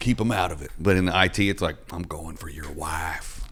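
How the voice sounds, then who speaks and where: A man with a Southern US accent talks in a very deep, low pitch with ordinary pitch variation. His pace is fairly quick, with noticeable background noise. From US South. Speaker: podcast host and comedian. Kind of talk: casual chat.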